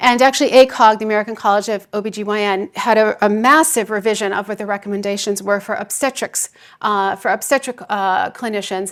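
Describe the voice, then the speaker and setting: Speaking at a fairly quick pace with hardly any pauses, a woman keeps her intonation fairly even. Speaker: psychiatry professor and researcher. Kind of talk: keynote lecture. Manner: fast.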